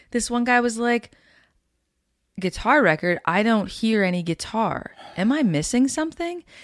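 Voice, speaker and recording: Speaking with a Canadian Prairies accent, a woman with a fairly high pitch keeps a very even loudness and a moderate pace, swinging her pitch very widely and leaving long, frequent pauses. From Canada, Winnipeg, Manitoba. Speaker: singer-songwriter and guitarist. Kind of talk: casual interview chat.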